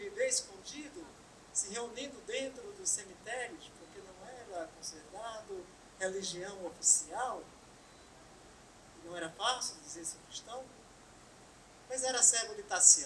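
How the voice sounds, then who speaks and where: A woman with a northeastern Brazilian accent at a very slow pace, with very wide pitch swings and audible room echo. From Brazil, Pernambuco (Bom Jardim). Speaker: spiritist lecturer. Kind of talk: lecture.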